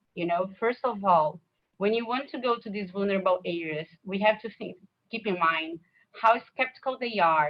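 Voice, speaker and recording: With a Brazilian Portuguese accent, the speaker moves at a moderate pace with ordinary pitch variation. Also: woman. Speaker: nonprofit executive director. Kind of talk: conference talk with Q&A. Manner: halting.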